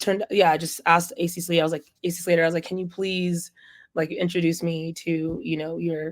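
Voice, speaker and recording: A woman with a fairly low pitch talks in a flat monotone on a very clean recording with a silent background. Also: fairly quick pace. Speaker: singer, DJ and producer. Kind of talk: casual interview chat. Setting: radio interview. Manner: halting, many fillers.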